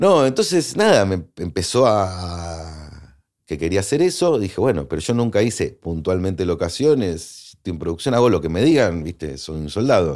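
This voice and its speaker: With hardly any pauses, a man speaks at a moderate pace in a very deep, low voice with lively intonation, recorded very cleanly against a silent background. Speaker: film location manager. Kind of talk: interview.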